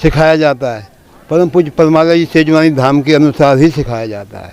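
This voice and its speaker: Noticeable background noise accompanies a man speaking at a fairly high pitch with ordinary pitch variation. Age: 70s. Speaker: meditation garden operator. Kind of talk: interview.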